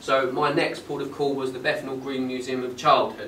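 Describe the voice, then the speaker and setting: A man with a medium-pitched voice talks at a moderate pace against noticeable background noise. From Essex, England. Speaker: auctioneer. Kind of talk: after-lunch club talk to an audience. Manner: conversational, with frequent filler pauses.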